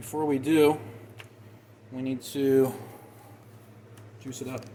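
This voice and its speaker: Noticeable background noise runs behind a man speaking at a medium pitch. His intonation is monotone and flat. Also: fairly slow pace. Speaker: gunsmith and firearms channel host. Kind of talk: tutorial.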